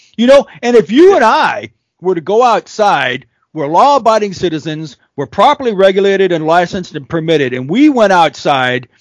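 Animated in tone, a man speaks fairly quickly at a high pitch with very wide pitch swings, the sound dry and close with no echo. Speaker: podcast host, private security contractor. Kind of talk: podcast interview, opinionated intro. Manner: animated, opinionated.

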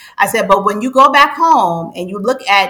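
A woman speaks at a moderate pace and medium pitch with lively intonation over noticeable background noise. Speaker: financial coach. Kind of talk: interview.

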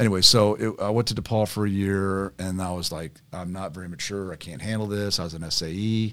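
A man with an American accent speaks at a very deep, low pitch and a moderate pace, with ordinary pitch variation, in a very clean recording with a silent background. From Carmel, Indiana, US Midwest. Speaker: former college football player, cancer survivor. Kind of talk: casual chat.

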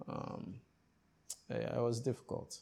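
A man talks with a Ghanaian accent and a dark, mellow tone. Vocal fry runs through his voice. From Ghana (Accra, eastern region; hometown Keta, Volta). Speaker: tech startup founder and CEO. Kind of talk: interview.

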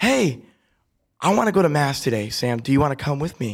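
At a moderate pace, a man with a Midwestern American accent speaks at medium pitch on a very clean recording with a silent background. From US Midwest, Ann Arbor, Michigan. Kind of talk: casual chat; testimony.

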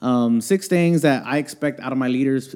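Over a silent background in a very clean recording, a man talks with a plain, everyday voice. He keeps a moderate pace and ordinary pitch variation. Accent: American. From Houston, Texas. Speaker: youth ministry director and pastor. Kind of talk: casual interview conversation. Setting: church.

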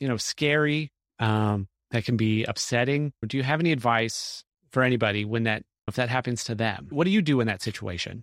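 Recorded very cleanly with a silent background and a dry, close sound with no echo, a man in a plain, everyday voice talks at a fairly quick pace, his medium pitch showing ordinary variation. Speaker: podcast host. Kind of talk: interview conversation.

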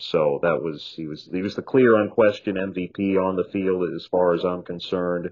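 A man with a very deep, low voice, ordinary pitch variation and a moderate pace. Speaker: baseball radio broadcaster. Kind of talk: interview with live play-by-play call clips.

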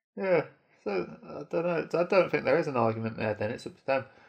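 Fairly quick, lively intonation from a man with an unremarkable speaking voice. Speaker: podcast co-host. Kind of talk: casual banter. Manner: teasing.

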